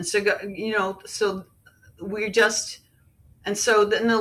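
A woman's voice sits at a fairly high pitch with a bright, sharp tone. Audible room echo surrounds it. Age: 50s. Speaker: lay preacher. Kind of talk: sermon. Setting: group call.

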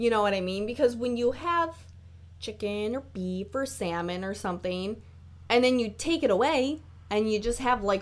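A woman with an animated tone. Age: 20s. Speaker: solo podcaster. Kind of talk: casual monologue.

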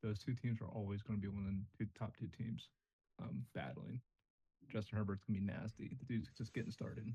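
A man talks at a fairly quick pace in a fairly low pitch with ordinary pitch variation. His tone is dark and mellow, with vocal fry. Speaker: podcast host. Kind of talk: casual chat.

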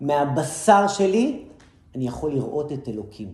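Somewhat breathy and dark, mellow in tone, a man speaks with lively intonation in audible room echo. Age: 40s. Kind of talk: lecture.

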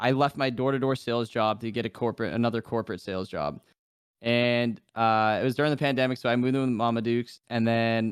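In a normal speaking voice with an American accent, the speaker talks at a fairly quick pace with fairly even intonation. The recording is very clean, with a silent background. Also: man. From New Hampshire, US. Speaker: gaming streamer. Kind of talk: casual chat.

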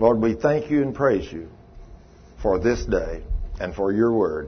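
At a moderate pace, a man talks in a somewhat breathy voice pitched in the medium range. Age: 60s. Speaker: preacher leading a healing school. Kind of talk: sermon. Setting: church meeting with live audience.

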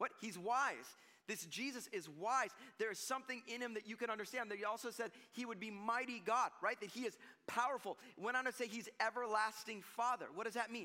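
A man's extremely high, bright and sharp voice, raised and projected, animated in tone, at a fairly quick pace. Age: 40s. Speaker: pastor. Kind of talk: sermon. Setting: church.

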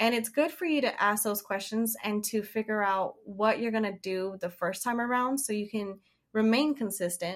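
Here is a woman with a normal speaking voice at a fairly high pitch. She talks at a moderate pace. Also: ordinary pitch variation. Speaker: animal trainer and caretaker. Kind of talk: casual interview chat.

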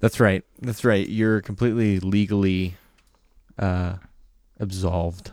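Fairly even intonation with an American accent, at a fairly slow pace with long, frequent pauses. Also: man, fairly low pitch for a man. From South Carolina. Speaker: podcast co-host. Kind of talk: casual chat.

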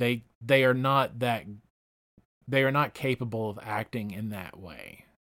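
An ordinary speaking voice from a man at medium pitch, fairly even in intonation, with big swings in loudness. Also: fairly slow pace. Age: 40s. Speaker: podcast host. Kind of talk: casual chat.

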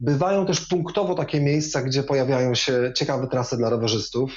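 A somewhat breathy man, fairly high-pitched, speaking at a fairly quick pace. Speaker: former politician and amateur cyclist. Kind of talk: interview. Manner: relaxed.

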